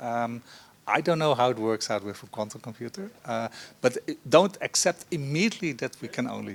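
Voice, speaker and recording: With a Dutch accent and a medium pitch, a man speaks at a fairly quick pace. His intonation is lively, in a very clean recording with a silent background. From Netherlands. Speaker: professor, panelist. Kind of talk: panel discussion. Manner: hesitant, many fillers.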